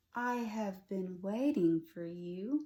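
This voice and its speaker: A woman puts on a character voice. Her pitch is medium. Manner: wise, solemn.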